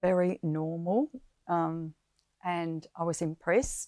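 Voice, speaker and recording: A woman speaks very slowly in an Australian accent, her pitch fairly low and her intonation flat and monotone. Her tone is dark and mellow, and the recording is very clean with a silent background. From South Australia. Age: 80s+. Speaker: former nun and teacher. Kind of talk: personal life story interview. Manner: hesitant, many fillers.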